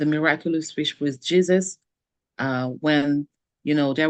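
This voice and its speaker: The recording is dry and close, with no echo. A woman with a French accent speaks at a very deep, low pitch with fairly even intonation. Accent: noticeable French. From French-speaking country. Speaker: life coach. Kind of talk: webinar conversation.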